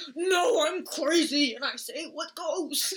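Someone in a put-on character voice talks at an extremely high pitch and a fairly slow pace. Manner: over dramatic.

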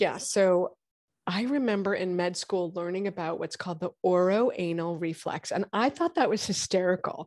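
A woman with an American accent, an unremarkable speaking voice, medium pitch, a moderate pace and ordinary pitch variation over a quiet background. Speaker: gynecologist. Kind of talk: interview, explaining medicine.

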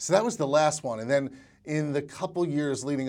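Here is a man with a normal speaking voice. He talks at a fairly quick pace with ordinary pitch variation. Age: 40s. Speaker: filmmaker and screenwriter. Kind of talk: interview.

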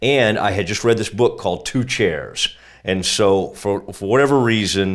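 Over a very clean recording with a silent background, a man with a plain, everyday voice talks at a moderate pace and fairly low pitch. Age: 40s. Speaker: sports journalist and podcaster. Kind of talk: casual interview.

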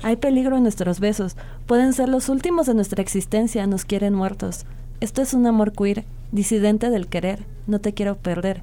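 A woman's dark, mellow tone at a moderate pace, with very even loudness and ordinary pitch variation. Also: fairly high pitch for a woman. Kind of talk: spoken-word poetry reading, a slam-style love poem performed live on radio. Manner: passionate, intimate, lyrical and fervent, like a vow to a lover.

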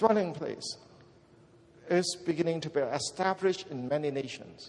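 A man speaks in an animated tone with a high pitch. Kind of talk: sermon. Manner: emphatic, animated, call-and-response, repeating key words for the congregation.

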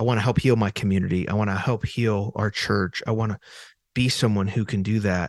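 This man has an unremarkable speaking voice at a medium pitch and a moderate pace. The sound is dry and close with no echo, against a quiet background. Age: 40s. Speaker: professor of faith and culture. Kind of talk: casual chat.

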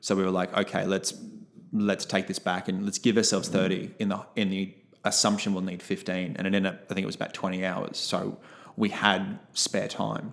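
A man talks at a fairly quick pace in a very deep, low voice. His intonation stays monotone and flat. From Brisbane, Australia. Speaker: clown and theatre company co-founder. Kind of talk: casual interview.

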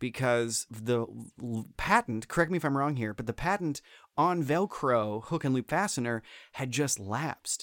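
A man with an American accent talks at a moderate pace in an ordinary speaking voice, medium in pitch, with lively intonation. The recording is very clean with a silent background and a dry, close sound with no echo. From Florida. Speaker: theme park performer and comedian. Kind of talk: casual chat. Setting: studio, same room as host.

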